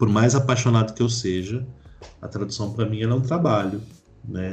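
Over music in the background, a speaker in a São Paulo accent talks at a fairly quick pace with fairly even intonation. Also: man. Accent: Paulistano Brazilian Portuguese. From São Paulo city, Jaraguá area. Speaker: book translator and lecturer. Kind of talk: casual interview chat.

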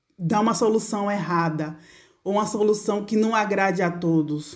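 A woman speaks at a medium pitch in a dark, mellow tone with ordinary pitch variation. Room echo is audible. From Brazil, Bahia (Feira de Santana). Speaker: food engineer and consultant. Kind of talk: interview.

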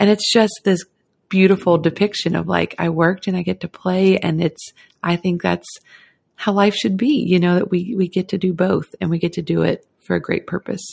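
At a medium pitch and a moderate pace, a woman speaks with vocal fry and fairly even intonation. The sound is dry and close, with no echo. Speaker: guest, photographer. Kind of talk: casual interview chat.

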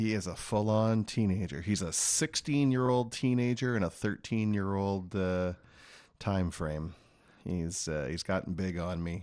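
A man with a plain, everyday voice speaks at a fairly low pitch with ordinary pitch variation. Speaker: financial advisor. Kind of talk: radio talk show discussion. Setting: studio. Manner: explanatory.

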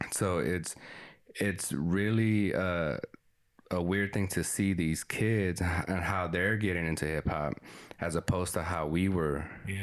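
A man's very deep, low voice at a moderate pace. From Texas. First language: Spanish. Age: 30s. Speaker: podcast co-host. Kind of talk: casual chat. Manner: animated.

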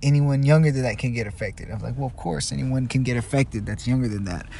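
Somewhat breathy, a man talks with ordinary pitch variation as audible room echo surrounds him. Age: 20s. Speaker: solo podcaster. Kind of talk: casual monologue. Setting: in a car. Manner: halting, many fillers and repetitions.

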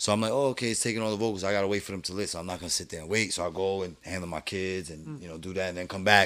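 A man's very deep, low voice with a bright, sharp tone, racing along at a very fast pace with hardly any pauses, on a very clean recording with a silent background. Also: ordinary pitch variation. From New York, Brooklyn. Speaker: rapper. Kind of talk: casual chat.

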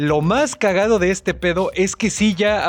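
Here a man speaks with a Mexican accent. His pitch is high. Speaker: podcast co-host. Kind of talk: casual chat.

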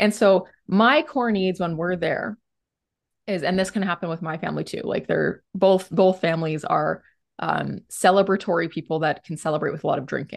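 Over a quiet background, a woman speaks with vocal fry. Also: medium pitch for a woman, ordinary pitch variation, moderate pace. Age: 30s. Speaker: psychologist and couples therapist. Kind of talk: podcast interview.

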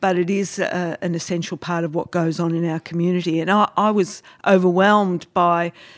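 Speaking at a moderate pace, a woman uses fairly low pitch and fairly even intonation. The recording is very clean, with a silent background. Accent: Australian. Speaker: podcast host. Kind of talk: casual interview.

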